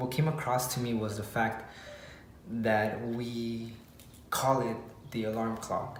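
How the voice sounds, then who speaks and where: Over noticeable background noise and audible room echo, a man speaks at medium pitch in a monotone, flat way. His pace is very slow, with long, frequent pauses. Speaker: fitness coach and motivational vlogger. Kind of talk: motivational vlog talk. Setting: garage at home. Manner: quiet.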